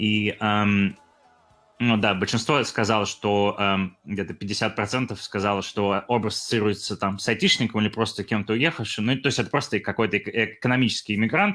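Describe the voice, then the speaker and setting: A man's fairly low, bright and sharp voice at a moderate pace with fairly even intonation. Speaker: podcast co-host, YouTuber. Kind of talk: casual chat.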